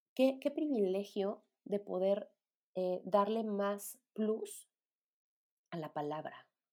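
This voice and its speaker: In a Mexican accent, a woman speaks with a dark, mellow tone and ordinary pitch variation. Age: 30s. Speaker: podcast host, psychologist. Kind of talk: solo podcast monologue. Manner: hesitant, many fillers.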